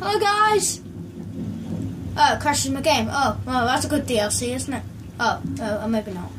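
There is noticeable background noise behind this woman. She speaks at a moderate pace. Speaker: gamer. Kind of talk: casual gameplay commentary. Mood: excited, laughing. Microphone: phone near.

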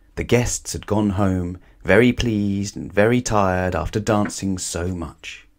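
A natural voice reading aloud

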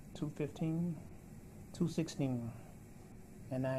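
The voice is somewhat breathy with a dark, mellow tone, moving at a fairly slow pace over light background noise. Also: man. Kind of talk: casual vlog chat. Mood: grateful, hopeful. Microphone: phone near.

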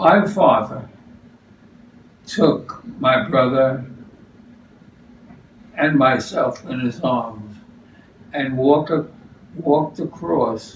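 A man with a New York accent, fairly high in pitch and lively in intonation, very slow with long, frequent pauses, amid light background noise and audible room echo. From New York City. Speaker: retiree recalling childhood. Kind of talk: interview answer. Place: kitchen. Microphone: camera far.

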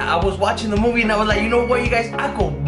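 Clear music runs in the background. A man talks over it. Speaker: YouTuber. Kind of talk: casual vlog chat. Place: kitchen. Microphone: camera far.

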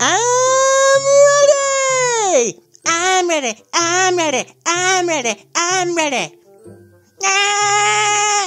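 A man does a put-on character voice at an extremely high pitch. He goes at a very slow pace with long, frequent pauses while faint music plays in the background. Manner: excited, high-energy.

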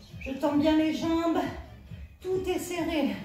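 A woman with high pitch and fairly even intonation speaks amid audible room echo, with faint music in the background. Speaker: fitness instructor. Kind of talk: workout instruction. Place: home room. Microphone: camera far.

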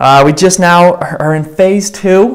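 This man's voice sits high in pitch. His pitch variation is ordinary. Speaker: pastor. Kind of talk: church announcements before a sermon. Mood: warm, upbeat. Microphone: lapel.

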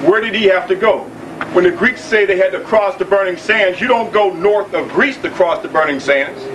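With noticeable background noise, a man speaks at a moderate pace in a high pitch, with ordinary pitch variation. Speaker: lecture assistant. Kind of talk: lecture. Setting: stage with audience. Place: hall. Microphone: old recording.

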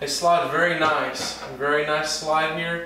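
A man's voice carries a bright, sharp tone at a fairly high pitch. Strong room echo surrounds it.

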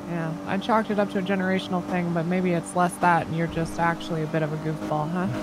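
Over noticeable background noise, a woman with a fairly low pitch talks at a very fast pace with hardly any pauses and lively intonation. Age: 30s. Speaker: roleplay player (police officer character); streamer voicing a roleplay police officer. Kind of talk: in-character roleplay. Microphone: headset.

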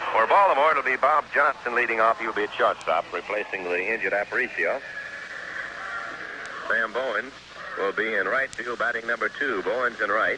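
A man talks at a fairly quick pace. Noticeable background noise runs underneath. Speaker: sports announcer. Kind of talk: radio baseball play-by-play. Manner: measured, professional. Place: booth. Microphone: old recording.

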